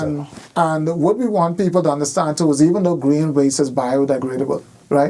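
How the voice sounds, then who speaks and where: The speaker has a Bahamian accent, a fairly quick pace and ordinary pitch variation. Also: man, fairly high pitch for a man. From Bahamas. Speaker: government minister, former educator. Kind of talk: interview answer. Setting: radio studio.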